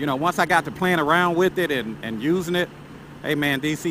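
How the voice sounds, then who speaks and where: Noticeable background noise and dry sound with no echo, a man at a moderate pace with ordinary pitch variation. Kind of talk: casual conversation. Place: motorbike. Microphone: helmet.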